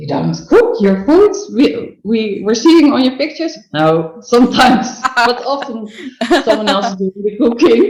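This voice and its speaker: With a Dutch accent, a woman talks at a moderate pace in a high pitch, her voice making very wide pitch swings. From Netherlands. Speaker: food photographer and business coach. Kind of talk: podcast interview. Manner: halting, searching for words.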